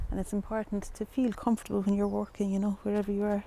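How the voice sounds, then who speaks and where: A woman speaks at a very fast pace with a dark, mellow tone, in a dry sound with no echo and light background noise. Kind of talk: tutorial. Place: waterside. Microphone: lapel.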